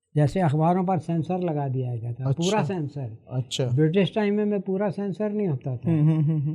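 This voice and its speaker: Here a man talks at a fairly high pitch with lively intonation. His tone is dark and mellow. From Rawalpindi, Punjab. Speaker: veteran journalist and newspaper editor. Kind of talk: podcast interview answer.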